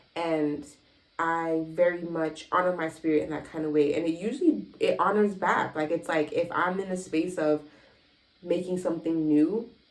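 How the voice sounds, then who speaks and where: An ordinary speaking voice at a moderate pace, with fairly even intonation. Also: woman, fairly low pitch for a woman. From US South, Miami. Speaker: lifestyle vlogger and entrepreneur. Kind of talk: casual vlog monologue.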